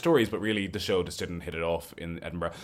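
Over noticeable background noise, a man with an Irish midlands accent talks at a very fast pace. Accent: Irish (Roscommon). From Ireland, County Roscommon. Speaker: cabaret performer. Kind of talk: casual interview. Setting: remote call.

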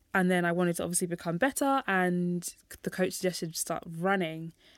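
The speaker talks at a fairly quick pace in a London accent on a very clean recording with a silent background. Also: woman. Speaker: running coach and youth mentor. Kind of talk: podcast interview. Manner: animated.

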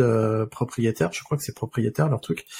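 A man speaks in a somewhat breathy voice. The recording is very clean with a silent background, and the sound is dry and close with no echo. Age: 40s. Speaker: podcast host and freelance DevOps consultant. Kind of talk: casual interview chat.

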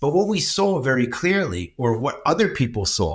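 With an American accent, a man talks at a moderate pace in a somewhat breathy, medium-pitched voice full of lively intonation. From US. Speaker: charity executive working with young people. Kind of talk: casual interview conversation. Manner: rambling, talkative.

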